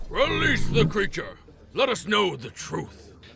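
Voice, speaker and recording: The voice is a put-on character, performed by a man. His delivery is fairly slow. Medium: audio drama. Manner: grandiose, commanding.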